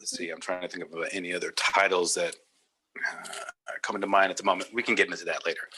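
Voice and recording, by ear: With an American accent, a man speaks in a low pitch, his bright, sharp tone carrying a slightly husky edge.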